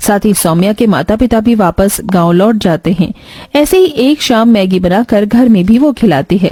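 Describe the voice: A woman's voice at medium pitch, with a dark, mellow tone. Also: ordinary pitch variation, moderate pace.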